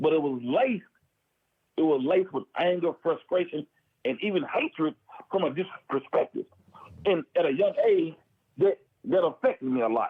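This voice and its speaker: Loud and high-pitched, a man speaks at a moderate pace with very wide pitch swings and long, frequent pauses. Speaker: former prisoner. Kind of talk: casual chat.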